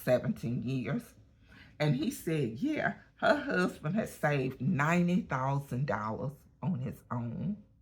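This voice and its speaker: Very wide pitch swings in a somewhat breathy voice at a fairly slow pace. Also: woman, very deep, low pitch for a woman. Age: 60s. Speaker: lifestyle vlogger. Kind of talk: casual vlog monologue. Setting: at a gym. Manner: chatty, conversational.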